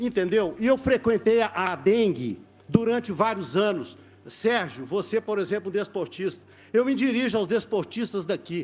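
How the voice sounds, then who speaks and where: Here a man talks in a high pitch at a moderate pace. His pitch varies in an ordinary way. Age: 60s. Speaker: event producer. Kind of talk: public testimony at legislative hearing.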